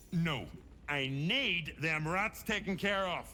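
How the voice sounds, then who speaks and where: Over clear background noise, a man puts on a gruff character voice, high-pitched for a man and delivered at a fairly slow pace. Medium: video game. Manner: gruff, blunt.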